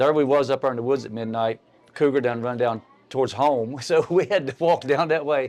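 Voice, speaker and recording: A man with an Appalachian accent, at medium pitch and a fairly quick pace, with ordinary pitch variation. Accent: Appalachian US Southern. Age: 60s. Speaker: local rock musician. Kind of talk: casual chat.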